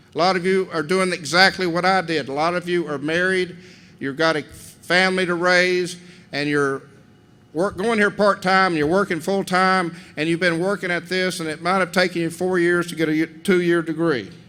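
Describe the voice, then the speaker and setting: A man with a Southern US accent speaks at a high pitch and a moderate pace. His tone is bright and sharp, with fairly even intonation. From Tennessee, Cleveland. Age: 60s. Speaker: commencement speaker. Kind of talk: commencement speech. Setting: gymnasium with audience. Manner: folksy, conversational.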